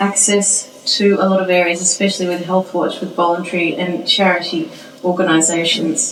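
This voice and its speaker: With an Australian accent, a woman speaks at a medium pitch in monotone, flat intonation, with audible room echo and noticeable background noise. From Australia, Melbourne. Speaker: professor. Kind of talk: interview.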